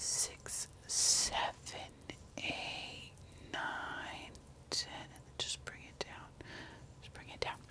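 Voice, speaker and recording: Whispering is how a woman delivers her words. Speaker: ASMR creator. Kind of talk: ASMR whisper skincare routine. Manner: whispered; casual, rambling. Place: home room. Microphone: studio mic.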